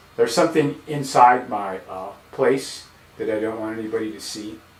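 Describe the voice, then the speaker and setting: There is noticeable background noise and audible room echo as a man speaks at a fairly slow pace with ordinary pitch variation. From Texas, El Paso. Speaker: painter streaming live. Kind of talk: casual live-stream monologue. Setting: home studio, live stream. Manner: loud.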